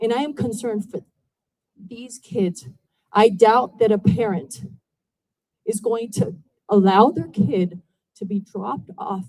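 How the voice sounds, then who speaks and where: Fairly high-pitched, somewhat breathy speech from a woman with a dark, mellow tone, a fairly slow pace, long, frequent pauses and big swings in loudness. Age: 60s. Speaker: resident speaking at public comment. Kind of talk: public comment at town hall. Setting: town hall meeting. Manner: emotional, pleading.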